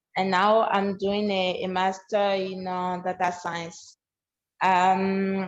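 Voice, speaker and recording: Speaking at a very slow pace, a woman talks in a French accent. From Benin. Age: 20s. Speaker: student program founder. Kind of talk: online presentation. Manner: halting.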